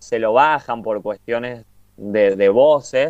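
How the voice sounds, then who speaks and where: A man speaks with a Cuyo Argentine accent. His intonation stays fairly even. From Argentina, Mendoza. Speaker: podcast co-host. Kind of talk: casual chat.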